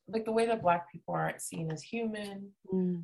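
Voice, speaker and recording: Intonation rises and falls in a lively way. There is a somewhat breathy quality to the voice. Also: woman. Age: 30s. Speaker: DJ and music producer. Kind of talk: casual chat.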